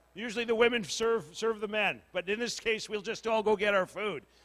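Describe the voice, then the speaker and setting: Loud and bright with a sharp tone, a man talks at a moderate pace and a high pitch on a very clean recording with a silent background. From northern Manitoba, Cree community. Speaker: community meeting facilitator. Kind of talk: casual public address at community meeting. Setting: community hall with audience, PA microphone. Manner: animated, joking.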